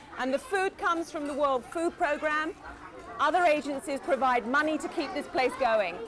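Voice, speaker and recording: A woman speaks in a high voice. Crowd noise can be heard behind her. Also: ordinary pitch variation, moderate pace. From England. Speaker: newsreader and broadcaster. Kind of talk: on-location travel report.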